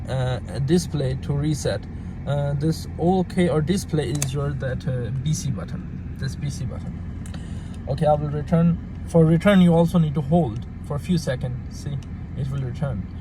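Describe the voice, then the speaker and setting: With a non-native accent, a man speaks at a moderate pace and a fairly high pitch. The room echo is audible and there is noticeable background noise. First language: not English. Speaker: car parts seller. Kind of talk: tutorial. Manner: halting.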